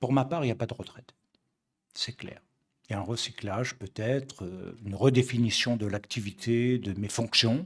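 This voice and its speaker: A man's medium-pitched, somewhat breathy voice at a moderate pace, with ordinary pitch variation and big swings in loudness. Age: 60s. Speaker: messianic rabbi. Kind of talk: religious study lecture. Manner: halting, with many fillers and repetitions.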